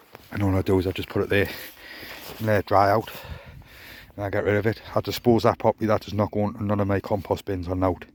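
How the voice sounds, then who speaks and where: Very fast yet broken by long, frequent pauses, a quiet man speaks in a flat monotone with a British accent, the sound dry and close with no echo on a very clean recording with a silent background. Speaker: allotment gardener vlogger. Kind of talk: casual vlog. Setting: outdoors.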